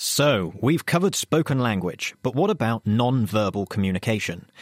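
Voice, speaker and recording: A man speaks at a moderate pace with an ordinary speaking voice, fairly low pitch, and lively intonation, recorded very cleanly against a silent background with a dry, close sound and no echo. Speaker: science show co-presenter. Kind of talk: radio science magazine presenting.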